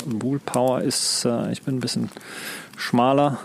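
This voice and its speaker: A man's medium-pitched voice with fairly even intonation and noticeable background noise. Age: 40s. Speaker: outdoor hobbyist. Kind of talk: casual chat. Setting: outdoors.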